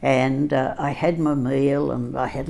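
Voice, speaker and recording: A woman speaks with an Australian accent. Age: 90s. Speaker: storyteller. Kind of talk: personal storytelling. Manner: halting, with many fillers.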